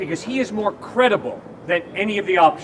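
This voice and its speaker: The speaker has an animated tone and ordinary pitch variation at a moderate pace. Noticeable background noise runs through the clip. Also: man. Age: 60s. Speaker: campus evangelist. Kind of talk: debate.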